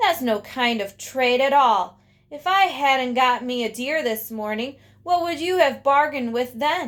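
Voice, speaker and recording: Putting on a gruff character voice with an Appalachian accent, a woman speaks at a high pitch and a moderate pace with lively intonation. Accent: rural Appalachian dialect. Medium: read story. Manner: gruff, menacing.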